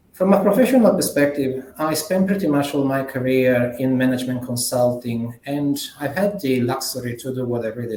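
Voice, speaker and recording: With an Italian accent, a man speaks at a moderate pace in a medium-pitched voice with lively intonation. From Italy. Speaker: management consultant. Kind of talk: conference keynote presentation. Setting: conference plenary session.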